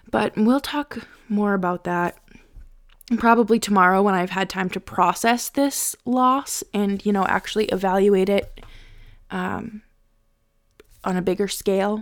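Medium-pitched woman at a fairly slow pace, fairly even intonation and long, frequent pauses, on a very clean recording with a silent background. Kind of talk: pep talk. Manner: exasperated and insistent, half-joking, pleading with the team.

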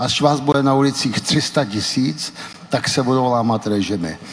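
Noticeable background noise sits behind a man talking at a moderate pace, his pitch varying in an ordinary way. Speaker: Velvet Revolution participant and author. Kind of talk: panel discussion before live audience. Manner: hesitant with many fillers.

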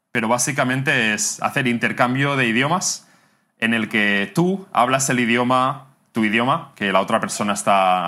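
Lively intonation runs through a voice with a bright, sharp tone. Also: man. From Catalonia, Spain (near Barcelona). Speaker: language teacher and YouTuber. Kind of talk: interview.

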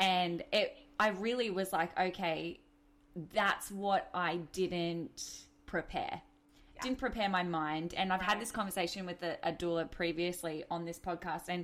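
Speaking in an Australian accent, a woman has a fairly low pitch. Her pace is moderate and her intonation fairly even. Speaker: podcast host. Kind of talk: casual interview.

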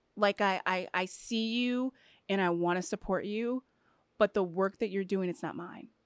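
A woman's unremarkable speaking voice at a medium pitch and moderate pace, ordinary pitch variation, dry and close with no echo, on a very clean recording with a silent background. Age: 30s. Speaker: professional basketball player. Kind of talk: casual chat.

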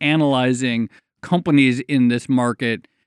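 A man with an unremarkable speaking voice at a fairly slow pace, fairly even intonation, on a very clean recording with a silent background. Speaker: podcast host. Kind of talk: casual chat.

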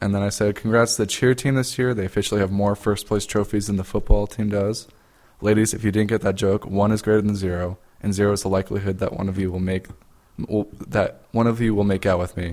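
A man talks at a very fast clip in a fairly low pitch. His intonation stays flat and monotone. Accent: American. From Utah. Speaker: podcast co-host. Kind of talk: casual chat.

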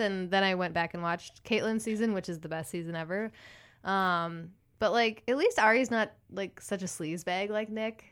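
The recording is very clean, its background silent. A woman talks at a moderate pace and a medium pitch. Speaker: podcast co-host. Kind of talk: casual chat.

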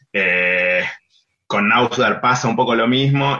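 This man talks with lively intonation. His pitch sits in the medium range. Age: 30s. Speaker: writer and literary critic. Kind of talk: interview. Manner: halting, with many repetitions and fillers.

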